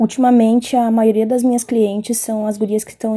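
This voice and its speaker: In a very clean recording with a silent background, a woman speaks in a fairly high pitch with a dark, mellow tone and flat, monotone intonation. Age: 20s. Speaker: hair braider. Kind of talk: casual self-introduction.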